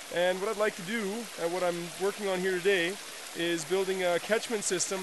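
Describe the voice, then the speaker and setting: Over noticeable background noise, a man speaks in a high pitch with monotone, flat intonation. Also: dry sound with no echo. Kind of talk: casual vlog chat. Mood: relaxed, hopeful. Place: forest. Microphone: phone near.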